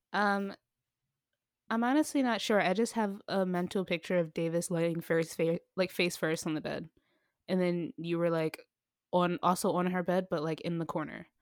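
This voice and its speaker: In an unremarkable speaking voice, a woman with a fairly low pitch talks at a moderate pace with ordinary pitch variation, on a very clean recording with a silent background and a dry, close sound with no echo. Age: 20s. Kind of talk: casual chat.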